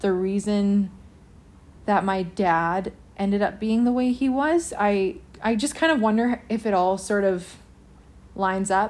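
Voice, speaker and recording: With a Western Canadian accent, a woman speaks at a fairly high pitch and a fairly slow pace. Her pitch variation is ordinary, and the recording is very clean with a silent background. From Canadian Prairies (Lloydminster, Alberta/Saskatchewan). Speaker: singer-songwriter and restaurateur. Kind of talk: interview testimony.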